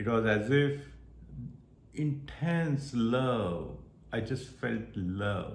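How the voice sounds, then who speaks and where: A man speaks with an Indian accent at a medium pitch and ordinary pitch variation. Audible room echo surrounds his voice. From India (Maharashtra). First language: Marathi. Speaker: spiritual vlogger. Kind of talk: personal testimony.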